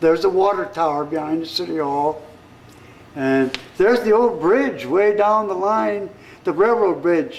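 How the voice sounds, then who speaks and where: Lively intonation from a man with an American accent at a fairly slow pace, over noticeable background noise. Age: 70s. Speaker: local historian. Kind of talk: guided tour. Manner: halting.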